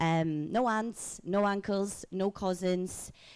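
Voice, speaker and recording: This woman speaks with a Polish accent. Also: very clean recording, silent background. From Poland. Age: 30s. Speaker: keynote speaker. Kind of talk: keynote talk.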